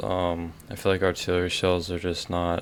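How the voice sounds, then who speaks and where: Speaking quietly at a moderate pace, a man uses a very deep, low pitch. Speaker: YouTuber ranking fireworks. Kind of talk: casual vlog ranking. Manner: quiet, keeping voice down; halting, many fillers.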